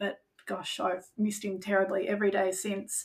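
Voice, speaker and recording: This woman's voice sits at a medium pitch and carries vocal fry. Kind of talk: personal testimony.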